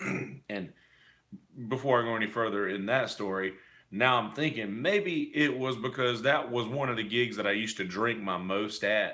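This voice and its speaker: In a hoarse, put-on character voice, a man speaks at a moderate pace with a medium pitch. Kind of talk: casual, conversational, recalling a story.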